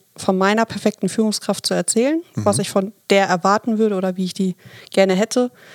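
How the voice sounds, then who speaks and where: A woman speaks at a moderate pace in a medium pitch, her voice dry and close with no echo. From Hamburg, northern Germany. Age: 30s. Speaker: team leader. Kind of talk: podcast interview.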